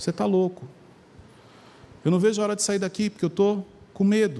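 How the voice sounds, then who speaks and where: A man's high pitch, with ordinary pitch variation, carries his words at a fairly quick pace. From Brazil, São Paulo area (Carapicuíba). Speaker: preacher. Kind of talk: sermon. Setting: church with congregation. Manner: animated.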